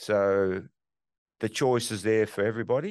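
A man with an Australian accent speaks at a fairly low pitch, his intonation fairly even, over a quiet background. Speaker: real estate investor. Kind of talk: interview.

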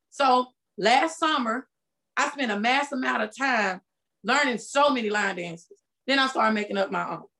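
A bright, sharp, high-pitched woman's voice with lively intonation at a moderate pace. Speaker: music teacher and fitness brand owner. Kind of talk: interview, casual chat.

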